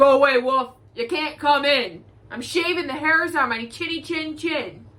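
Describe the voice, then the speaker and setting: Someone shouts in a put-on character voice. The pace is moderate. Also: woman, high pitch for a woman. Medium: read story. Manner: rude, yelling.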